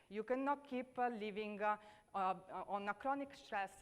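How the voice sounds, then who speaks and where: Fairly quick in pace, a woman speaks with an Italian accent. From Italy. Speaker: leadership speaker. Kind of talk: conference talk. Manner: hesitant, many fillers.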